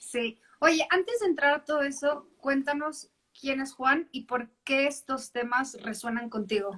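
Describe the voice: A woman speaks at a fairly slow pace in a high voice. Her tone is fairly bright, with ordinary pitch variation.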